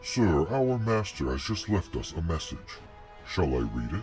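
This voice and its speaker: Against clear music in the background, a man uses a put-on character voice, very deep and low in pitch, with very wide pitch swings at a moderate pace. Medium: audio drama. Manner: formal, deferential.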